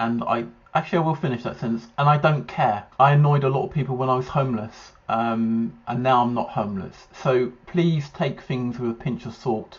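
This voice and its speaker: A somewhat breathy man talks with hardly any pauses and ordinary pitch variation. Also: medium pitch for a man, moderate pace. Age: 40s. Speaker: YouTuber reacting to ADHD test. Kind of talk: casual monologue reacting to questionnaire. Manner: halting, many fillers.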